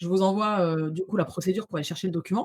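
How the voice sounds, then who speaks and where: A woman talks at a very fast pace in a somewhat breathy voice against a quiet background. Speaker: social media visibility trainer; guest. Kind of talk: interview conversation. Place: home room. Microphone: studio mic.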